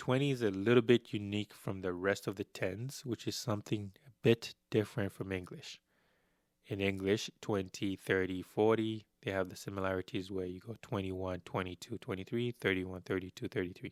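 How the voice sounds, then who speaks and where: In a very clean recording with a silent background, a man with a non-native accent speaks at a fairly low pitch with fairly even intonation. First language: not Spanish. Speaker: language teacher. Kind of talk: tutorial. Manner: slow.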